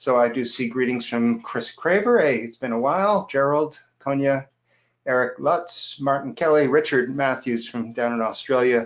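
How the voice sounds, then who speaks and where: An unremarkable speaking voice from a man with an American accent, medium pitch and a moderate pace. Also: ordinary pitch variation. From US, New York City and Los Angeles. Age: 60s. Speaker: software educator. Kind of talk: live webinar. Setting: online webinar.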